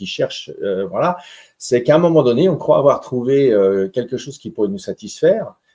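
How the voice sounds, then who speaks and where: Very wide pitch swings in a man's dark, mellow tone. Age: 60s. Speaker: researcher and lecturer. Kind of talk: interview. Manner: halting, with many hesitations.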